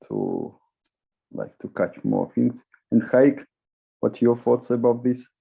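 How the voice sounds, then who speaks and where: A man with a non-native accent talks at a medium pitch. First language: not English. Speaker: discussion moderator. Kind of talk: panel discussion. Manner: halting.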